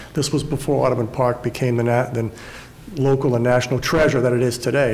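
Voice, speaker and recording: Amid noticeable background noise, a man talks at a very fast pace in a medium pitch with fairly even intonation. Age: 60s. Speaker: journalist. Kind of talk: panel discussion. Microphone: too far from the mic.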